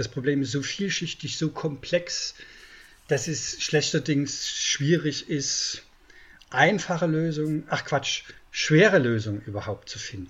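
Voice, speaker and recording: A man's somewhat breathy voice, fairly slow in pace, with ordinary pitch variation. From East Germany. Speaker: journalist and book author. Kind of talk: interview.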